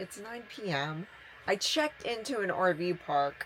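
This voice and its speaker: A woman's voice with very wide pitch swings, over noticeable background noise. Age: 60s. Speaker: solo truck camper traveler. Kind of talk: casual talk to camera.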